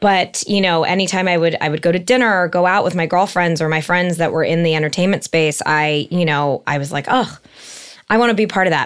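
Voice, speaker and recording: A woman with a Californian accent, fairly low pitch, ordinary pitch variation and a fairly quick pace. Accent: Californian American English. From Los Angeles, San Fernando Valley. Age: 30s. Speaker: entertainment marketing executive. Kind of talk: interview conversation. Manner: halting, many fillers.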